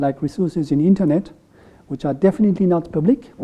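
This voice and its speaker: At a fairly quick pace, a man with a French accent speaks at a high pitch with ordinary pitch variation. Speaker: economist. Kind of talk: lecture. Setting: room with audience. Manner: halting.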